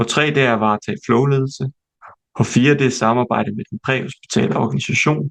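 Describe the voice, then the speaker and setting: A man speaks at a moderate pace in a plain, everyday voice with ordinary pitch variation. The sound is dry and close, with no echo. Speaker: emergency medicine trainee doctor presenting to new trainees. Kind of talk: recorded presentation / lecture. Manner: list reading, numbered enumeration.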